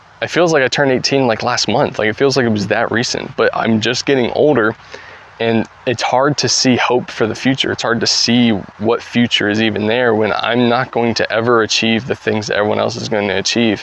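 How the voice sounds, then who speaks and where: A man's medium-pitched voice at a fairly quick pace, fairly even intonation, and noticeable background noise. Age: 20s. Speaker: YouTuber. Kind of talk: casual vlog monologue. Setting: outdoors, backyard. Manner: hesitant, many fillers.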